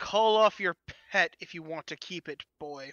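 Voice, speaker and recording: A booming, put-on character voice at a middle pitch and moderate pace. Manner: commanding, threatening.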